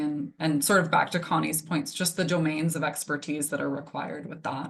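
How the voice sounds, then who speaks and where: A woman speaks with a very deep, low pitch and a monotone, flat intonation. Behind her, the background is quiet. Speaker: moderator. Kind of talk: panel discussion. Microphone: microphone not working, speaking without it.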